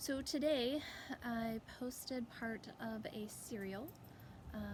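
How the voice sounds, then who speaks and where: Somewhat breathy, a woman with an American accent and fairly high pitch speaks with lively intonation. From US Appalachian mountains. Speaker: author. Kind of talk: casual chat. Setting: outdoors. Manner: over-enunciated; hesitant with many fillers.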